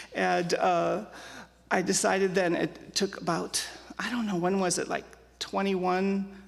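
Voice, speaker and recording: With an American accent, a woman at a medium pitch speaks at a fairly slow pace with fairly even intonation and long, frequent pauses, with audible room echo. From Germany, emigrated to US at age 5. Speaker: church member sharing life story. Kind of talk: interview testimony. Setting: church with live audience. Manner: loud.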